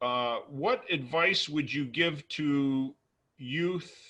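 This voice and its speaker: Bright and sharp in tone, a man with an American accent speaks at a fairly high pitch with ordinary pitch variation. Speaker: ambassador. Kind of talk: interview. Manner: halting; formal.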